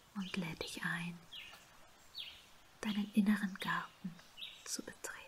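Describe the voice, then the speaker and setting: Soft-spoken and calm, a woman talks at a very slow pace in a monotone, flat intonation over light background noise. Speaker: ASMR and meditation creator. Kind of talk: guided meditation. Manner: soft-spoken, slow, calm. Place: home room.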